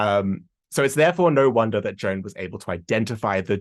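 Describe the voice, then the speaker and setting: Heard over a quiet background, the speaker talks with an Australian accent. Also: man. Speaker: history podcaster and tour guide. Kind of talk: conference presentation.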